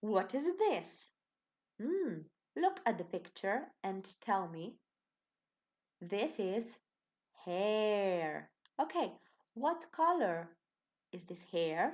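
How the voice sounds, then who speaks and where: A woman with a Slovenian accent speaks at a very slow pace in a medium pitch, with long, frequent pauses, very wide pitch swings and big swings in loudness. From Slovenia, Ilirska Bistrica. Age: 20s. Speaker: primary school teacher. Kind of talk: online lesson for children. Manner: slow, clear and encouraging.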